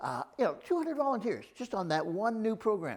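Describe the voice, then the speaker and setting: A man talks with a Canadian accent. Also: very clean recording, silent background. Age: 70s. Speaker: community volunteer. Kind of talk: interview. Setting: studio. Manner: halting, with repetitions; enthusiastic.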